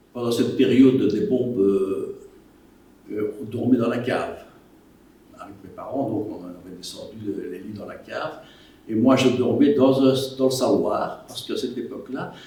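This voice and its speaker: A fairly slow pace with audible room echo and noticeable background noise. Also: man. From Belgium, Wallonia (Liège province). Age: 80s+. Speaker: war witness. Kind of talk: testimony. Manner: halting.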